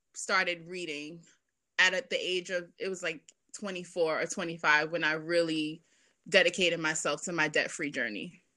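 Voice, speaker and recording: A bright, sharp tone and a New York accent come through at a fairly slow pace on a very clean recording with a silent background. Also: woman. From Brooklyn, New York. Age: 20s. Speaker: violinist and personal finance educator. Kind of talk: casual interview.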